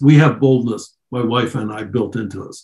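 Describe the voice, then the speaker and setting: An American accent with a dark, mellow, somewhat breathy tone, fairly even intonation and a moderate pace. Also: man. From US, Baltimore. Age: 80s+. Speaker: author and psychologist. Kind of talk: interview.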